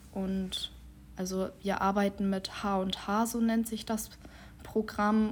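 A woman's very slow, monotone, flat speech at medium pitch. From Schleswig-Holstein, Dithmarschen. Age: 20s. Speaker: trainee civil servant and student. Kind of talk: interview.

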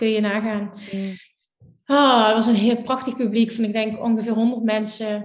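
Speaking slowly-ish in a Limburg accent, a woman keeps a fairly high pitch and a monotone, flat intonation at a fairly slow pace. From Limburg, Netherlands. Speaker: law of attraction teacher. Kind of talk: casual interview.

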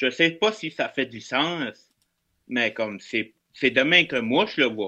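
Against a quiet background, a man speaks very slowly with a bright, sharp tone. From northeastern New Brunswick, Canada (Acadian). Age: 20s. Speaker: hospital security officer and podcaster. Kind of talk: casual chat.

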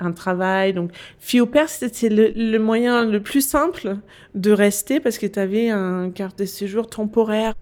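This very clean recording has a silent background. A woman speaks in a Danish accent with ordinary pitch variation. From Denmark. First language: Danish (speaking French). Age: 40s. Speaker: business consultant. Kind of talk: interview. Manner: hesitant.

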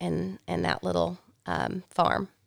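A woman speaks with a Southern US accent. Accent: Southern US (Georgia). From US South, rural Georgia mountains. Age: 40s. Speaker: farmer. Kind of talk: casual chat. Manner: loud.

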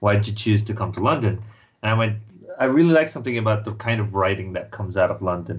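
A man talks at a very fast pace in a fairly low, somewhat breathy voice with ordinary pitch variation. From Mumbai, India. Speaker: comic book writer. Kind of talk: casual interview. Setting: remote call from London.

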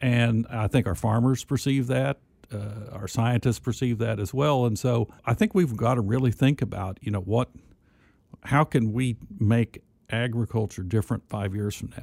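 Heard in a dry, close sound with no echo, a man with an American accent speaks at a moderate pace in an unremarkable speaking voice. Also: medium pitch for a man, ordinary pitch variation. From southern Missouri (Mountain Grove, Ozarks). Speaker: university agriculture administrator. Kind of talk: podcast interview. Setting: studio.

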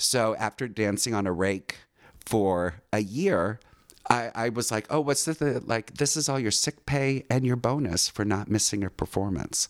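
An unremarkable speaking voice from a man, medium in pitch, with ordinary pitch variation at a fairly slow pace. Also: dry, close sound with no echo. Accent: American. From California, Orange County. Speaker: dancer, actor and casting director. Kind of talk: casual interview, life story.

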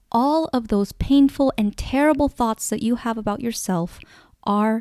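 A woman with a fairly high pitch speaks in an upbeat, dark and mellow tone with lively intonation. The sound is dry and close with no echo, on a very clean recording with a silent background. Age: 20s. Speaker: relationship coach and podcast host. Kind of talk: solo podcast monologue, list of life lessons.

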